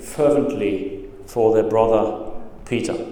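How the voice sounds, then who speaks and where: Audible room echo hangs around the man as he talks, with noticeable background noise as well. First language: not English. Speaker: pastor. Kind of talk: sermon. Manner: halting, many fillers.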